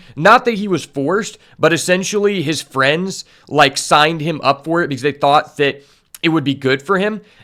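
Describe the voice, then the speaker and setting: The voice belongs to a man with a fairly high pitch and a bright, sharp tone. His pitch varies in an ordinary way. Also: moderate pace. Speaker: streamer reacting to a show. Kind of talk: reaction commentary.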